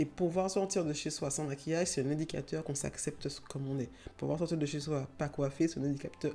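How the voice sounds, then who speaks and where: A woman speaks in a very deep, low pitch with a dark, mellow tone. Her pace is fairly quick and her intonation fairly even. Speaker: YouTuber on self-acceptance. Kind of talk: casual vlog talk. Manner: hesitant, many fillers.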